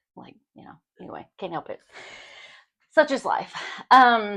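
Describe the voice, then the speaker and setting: Very wide pitch swings run through this voice with a Kentucky accent. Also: woman, quiet background. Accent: Kentucky Southern US. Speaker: podcast co-host. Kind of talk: casual chat.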